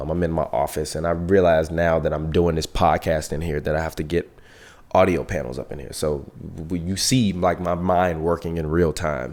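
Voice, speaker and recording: Intonation is fairly even throughout. The speaker keeps a moderate pace. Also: man, very deep, low pitch for a man. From Chicago South Side. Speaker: podcast host and filmmaker. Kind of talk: casual monologue. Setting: home office. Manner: loud.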